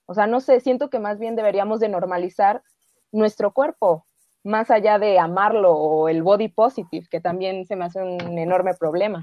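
This woman has a normal speaking voice at medium pitch, with ordinary pitch variation and a moderate pace. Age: 20s. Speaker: film worker. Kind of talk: casual chat.

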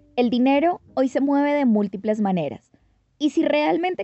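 Lively intonation runs through this woman's plain, everyday voice. She keeps a moderate pace. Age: 20s. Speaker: podcast host. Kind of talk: scripted narration.

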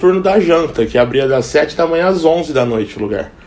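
A man's fairly high voice at a fairly quick pace, with lively intonation and noticeable background noise. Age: 30s. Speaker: cook. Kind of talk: casual interview.

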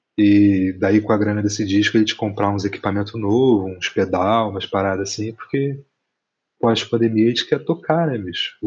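Here is a man with a fairly low voice and an ordinary speaking voice. He speaks at a moderate pace with ordinary pitch variation. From Rio de Janeiro, West Zone (Brazil). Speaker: musician and visual artist. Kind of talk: casual interview chat.

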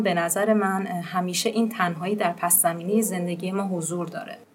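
This is a woman's voice. She talks at a very fast pace. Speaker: podcast host. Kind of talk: casual chat.

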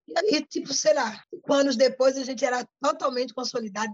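Here a woman talks at a very fast pace. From Brazil, Pernambuco (Paulista), raised in Rio de Janeiro. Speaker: community activist. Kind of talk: interview.

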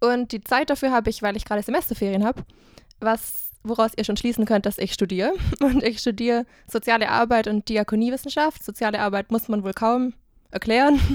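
An ordinary speaking voice from a woman, fairly high in pitch with ordinary pitch variation, at a fairly quick pace, dry and close with no echo. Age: 20s. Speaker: student and podcaster. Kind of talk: casual chat.

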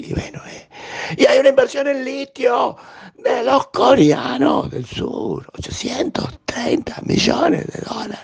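His loudness shows big swings. The man speaks at a very slow pace. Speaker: tech news newsletter host. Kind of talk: news roundup.

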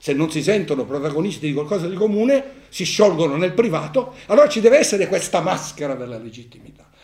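A man talks at a very fast pace in a high pitch, with very wide pitch swings and big swings in loudness. Noticeable background noise runs behind him. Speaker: philosophy professor and author. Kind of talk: book presentation talk and discussion.

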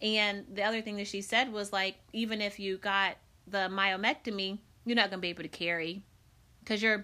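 On a very clean recording with a silent background, a woman with an American accent speaks at a fairly quick pace in a medium pitch, her tone bright and sharp and her intonation monotone and flat. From US Midwest, Decatur, Illinois. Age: 40s. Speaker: podcast host. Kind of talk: casual chat.

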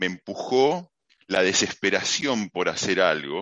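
A man speaks with a Rioplatense accent. His pitch sits fairly low. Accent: Argentine Rioplatense Spanish. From Argentina, Mar del Plata. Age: 50s. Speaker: technology executive. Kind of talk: interview.

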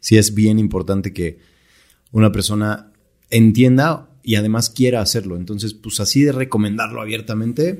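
A man talks in a Mexican accent at a moderate pace. His tone is dark and mellow. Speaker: entrepreneur. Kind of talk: casual chat.

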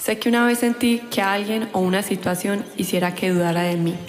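At a moderate pace, a woman speaks at a medium pitch amid noticeable background noise. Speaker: poet. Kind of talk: spoken-word poetry, reading a written piece aloud. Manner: intimate, heartfelt, emotive delivery; empowered, defiant, with measured, lyrical pacing.

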